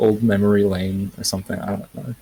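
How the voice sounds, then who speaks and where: A man with a dark, mellow tone speaks at a fairly low pitch, his voice somewhat breathy. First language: not English. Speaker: game map creator. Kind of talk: casual chat.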